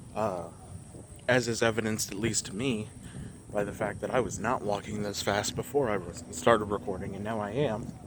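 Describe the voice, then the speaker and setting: Over noticeable background noise, a man talks at a fairly quick pace in a fairly low pitch with fairly even intonation. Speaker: vlogger. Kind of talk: casual monologue. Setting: outdoors, walking.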